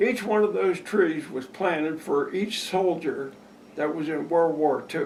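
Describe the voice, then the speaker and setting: Noticeable background noise and audible room echo surround a man with an American accent. He speaks at a fairly slow pace with a high pitch and ordinary pitch variation. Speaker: local elder interviewee. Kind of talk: oral history interview.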